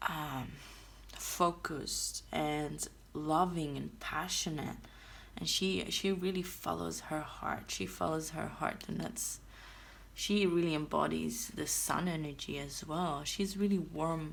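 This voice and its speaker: Audible room echo surrounds a woman with a non-native accent who speaks at a very slow pace. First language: not English. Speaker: tarot reader. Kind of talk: tarot reading. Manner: hesitant, with fillers.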